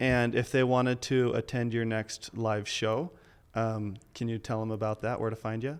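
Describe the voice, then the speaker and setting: The man has an ordinary speaking voice at a medium pitch. His pace is fairly slow. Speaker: podcast host, chiropractor. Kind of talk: interview chat.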